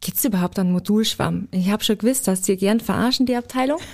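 The voice is somewhat breathy, with ordinary pitch variation and a fairly quick pace, on a very clean recording with a silent background. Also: woman. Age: 20s (24). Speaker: apprentice trainer. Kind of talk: interview.

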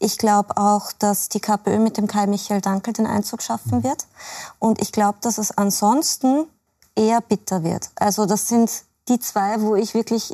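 A woman speaks at a moderate pace with a dark, mellow tone and a fairly high pitch. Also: very even loudness. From Austria, Salzburg area. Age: 30s. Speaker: labour market expert and author. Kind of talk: TV panel discussion.

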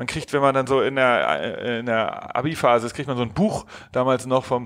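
A man at a moderate pace. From Hamburg, northern Germany. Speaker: founder of an innovation agency. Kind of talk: podcast interview. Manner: halting, many fillers and repetitions.

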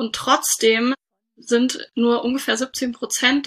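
A woman with a high, bright and sharp voice talks in a flat monotone. The recording is very clean with a silent background. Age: 30s. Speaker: doctor and startup founder. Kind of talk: interview.

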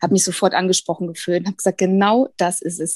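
Recorded with a dry, close sound and no echo, a woman speaks in a dark, mellow tone. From Bavaria. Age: 40s. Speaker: former coaching program participant. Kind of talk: interview. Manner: hesitant, many fillers.

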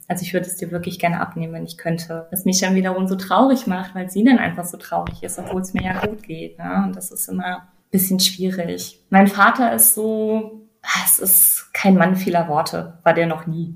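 Here is a woman with an unremarkable speaking voice. Her pitch is medium and shows ordinary variation. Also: moderate pace. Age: 30s. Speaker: person with multiple sclerosis. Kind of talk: interview.

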